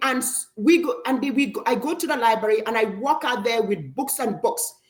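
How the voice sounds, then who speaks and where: Sounding excited, a woman speaks at a high pitch with very wide pitch swings. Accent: African. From Africa. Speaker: parent of students. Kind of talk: interview.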